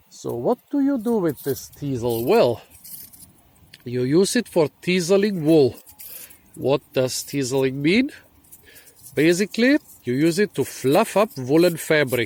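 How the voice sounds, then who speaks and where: At a fairly slow pace, a man with a non-native accent speaks at a fairly high pitch with very wide pitch swings and long, frequent pauses, in a dry, close sound with no echo. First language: not English. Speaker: foraging and plant video host. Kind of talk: casual explainer to camera. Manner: casual with frequent fillers.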